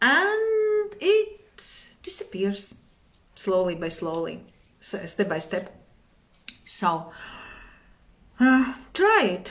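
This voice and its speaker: Amid audible room echo, a woman with a Latvian accent speaks at a very slow pace with long, frequent pauses. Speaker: meditation and yoga teacher. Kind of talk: live stream talk. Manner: halting.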